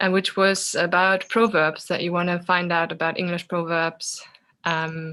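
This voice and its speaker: With a German accent, a woman talks at a moderate pace in a fairly low pitch. Her tone is bright and sharp, and her intonation is monotone and flat. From Germany. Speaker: movement artist. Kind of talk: casual chat.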